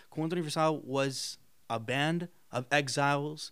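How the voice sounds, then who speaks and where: A man's fairly high pitch in an ordinary speaking voice, with ordinary pitch variation, on a very clean recording with a silent background. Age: 20s. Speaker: student film director. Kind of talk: casual interview chat.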